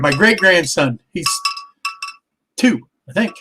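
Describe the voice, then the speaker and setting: A man's raised, projected voice at a very slow pace, with very wide pitch swings, music in the background. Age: 60s. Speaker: model railroad livestream host. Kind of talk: casual chat.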